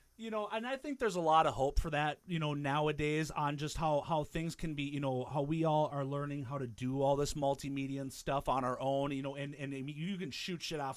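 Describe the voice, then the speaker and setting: With hardly any pauses, a man talks at a fairly quick pace in a plain, everyday voice, fairly high in pitch with ordinary pitch variation. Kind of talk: casual podcast conversation.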